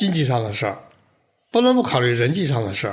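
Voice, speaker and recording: A man speaks at a fairly quick pace in a somewhat breathy voice, his pitch swinging very widely. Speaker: podcast host. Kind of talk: reflective monologue.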